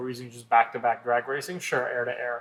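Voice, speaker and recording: A man talks at a fairly quick pace and a medium pitch. His intonation is monotone and flat. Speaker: shop owner and podcast co-host. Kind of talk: casual chat. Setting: studio couch podcast. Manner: loud.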